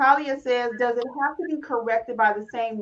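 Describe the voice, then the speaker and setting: In an ordinary speaking voice, a woman with an American accent talks at a moderate pace with a fairly high pitch. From Detroit. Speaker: notary trainer and podcast host. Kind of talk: casual livestream chat.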